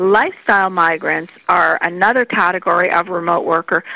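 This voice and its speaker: A woman's bright, sharp tone at a moderate pace, dry and close with no echo. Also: quiet background. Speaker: Nova Scotia business agency CEO. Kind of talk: interview answers, promotional. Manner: warm, conversational.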